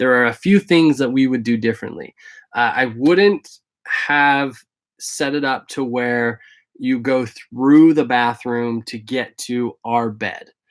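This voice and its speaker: The recording is very clean with a silent background. A man of medium pitch speaks very slowly with ordinary pitch variation. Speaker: vlogger living in a converted school bus. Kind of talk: live stream Q&A. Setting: live video stream. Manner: hesitant, many fillers.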